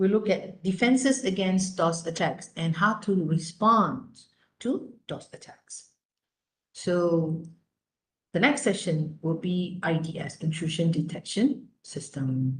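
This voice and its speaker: Speaking at a very slow pace, a woman with a fairly low, somewhat breathy voice uses lively intonation amid audible room echo. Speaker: lecturer. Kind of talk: lecture.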